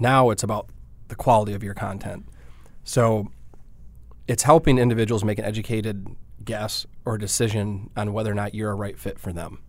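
Talking at a fairly quick pace, this man has a fairly low pitch and a slight Midwestern accent. His fairly even intonation is broken by long, frequent pauses. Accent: slight Midwest. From Michigan, Detroit area. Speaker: digital marketing agency founder. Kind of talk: interview.

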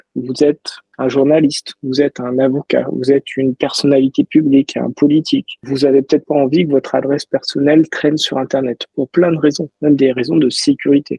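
A man's fairly high voice, dark and mellow in tone, fairly quick with hardly any pauses, monotone and flat, in a dry, close sound with no echo. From France, Toulouse. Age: 30s. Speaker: ethical hacker, cybersecurity founder. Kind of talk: interview.

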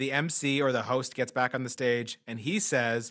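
Speaking at a fairly slow pace, a man has an animated tone on a very clean recording with a silent background. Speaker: comedian podcast host. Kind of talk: casual interview chat. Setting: studio. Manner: animated, high-energy.

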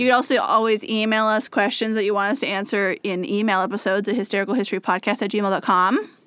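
A woman's voice with ordinary pitch variation. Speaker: podcast co-host. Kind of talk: casual chat. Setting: small hot room in a house.

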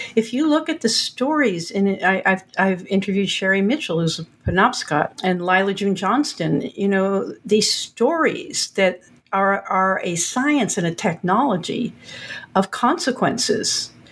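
A woman talks with lively intonation, her voice somewhat breathy. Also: medium pitch for a woman. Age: 70s. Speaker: author. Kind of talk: interview.

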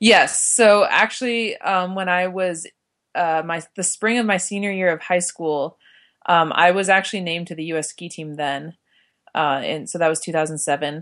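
The speaker has an American accent and talks at a moderate pace with ordinary pitch variation over a quiet background. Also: woman, fairly low pitch for a woman. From Utah, Park City. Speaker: cross-country skier. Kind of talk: interview. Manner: halting, many fillers.

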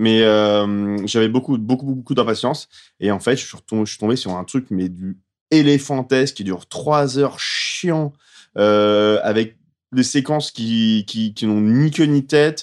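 A plain, everyday voice from a man at medium pitch, with ordinary pitch variation, a fairly slow pace, big swings in loudness and a quiet background. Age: 30s. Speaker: film podcast panelist. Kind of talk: casual chat.

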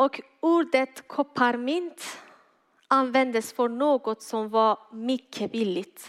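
A woman's high-pitched voice with a non-native accent, very slow pace, ordinary pitch variation, and a dry, close sound with no echo. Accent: foreign accent in Swedish. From Iran. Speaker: guest preacher. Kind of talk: sermon. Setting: church.

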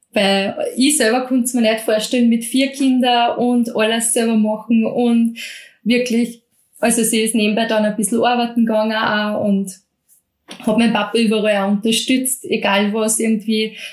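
Her pitch is fairly high and her pace moderate. This woman's intonation stays monotone and flat. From Austria, Mostviertel (Lower Austria). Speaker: bread expert and cooking instructor. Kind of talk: interview.

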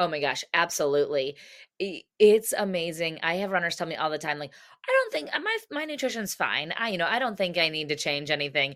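A woman with a normal speaking voice, fairly low pitch, an American accent and a fairly quick pace. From United States. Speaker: dietitian and running coach. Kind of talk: interview.

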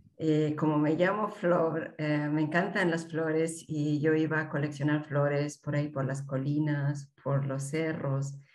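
Against noticeable background noise and audible room echo, a woman speaks fairly slowly in a very deep, low pitch, her intonation monotone and flat, with hardly any pauses. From Peru, Andean highlands. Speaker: mountaineer and mountain guide. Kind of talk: interview.

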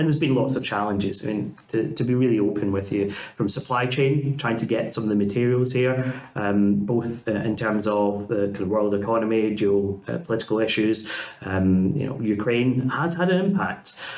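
A man with a Scottish accent speaks at a moderate pace and medium pitch, with ordinary pitch variation, hardly any pauses, and noticeable background noise. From Scotland. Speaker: university principal. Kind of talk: casual interview chat.

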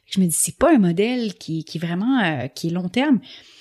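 Medium in pitch, a woman speaks. Her pace is moderate. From Quebec. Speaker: entrepreneur and podcaster. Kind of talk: testimony.

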